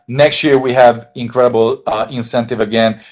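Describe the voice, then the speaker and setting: A man speaks with a Hungarian accent. His pitch is medium. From Hungary. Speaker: network marketing distributor. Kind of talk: sales pitch. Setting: webinar. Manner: enthusiastic.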